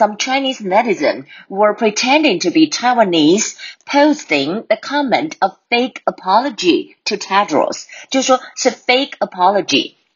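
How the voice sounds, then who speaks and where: At a moderate pace, a woman speaks with vocal fry and very wide pitch swings. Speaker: English teacher podcaster. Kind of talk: language lesson. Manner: code-switching Mandarin and English; repeats words for drilling.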